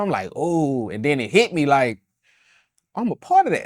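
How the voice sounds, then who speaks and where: A Louisiana accent at a moderate pace. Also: man. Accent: Southern US, Louisiana. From Baton Rouge, Louisiana. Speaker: rapper, independent artist. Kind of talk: interview answer. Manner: casual, conversational.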